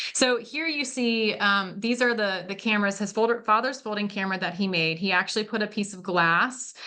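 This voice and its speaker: Over a quiet background, a woman at medium pitch speaks at a fairly quick pace with hardly any pauses and ordinary pitch variation. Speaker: museum curator; presenter. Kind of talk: lecture. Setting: video call. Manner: fast. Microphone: video call.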